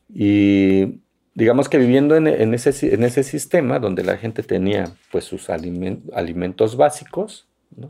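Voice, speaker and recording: In a very clean recording with a silent background, a man's dark, mellow voice swings very widely in pitch. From Santa Catarina Minas, Oaxaca, Mexico. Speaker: mezcal producer and agronomist. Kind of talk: interview. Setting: his village in Oaxaca.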